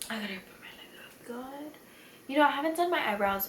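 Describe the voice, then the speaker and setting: Noticeable background noise and audible room echo accompany a woman as she talks. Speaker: beauty youtuber. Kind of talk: makeup tutorial. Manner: rambling, slurring drunk chatter.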